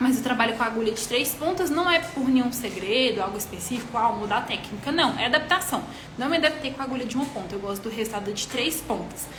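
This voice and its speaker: In a high voice, a woman races along at a very fast pace with hardly any pauses and lively intonation, amid audible room echo and noticeable background noise. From Minas Gerais, Brazil. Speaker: micropigmentation artist and instructor. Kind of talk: live-stream tutorial, answering questions.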